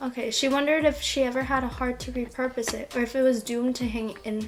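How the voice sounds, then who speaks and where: A woman, high-pitched and very fast, against noticeable background noise. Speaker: fanfiction reader and commentator. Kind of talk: reading aloud with casual commentary. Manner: halting, with stutters and fillers.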